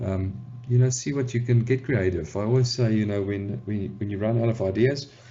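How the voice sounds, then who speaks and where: Somewhat breathy, a man with a medium pitch speaks with ordinary pitch variation. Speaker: photographer. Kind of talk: tutorial talk to camera. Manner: casual, hesitant with fillers.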